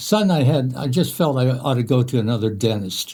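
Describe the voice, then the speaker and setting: Over a very clean recording with a silent background, a man at medium pitch sounds somewhat breathy, with a dark, mellow tone and lively intonation. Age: 80s+. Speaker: author. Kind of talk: talk. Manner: halting, frequent fillers.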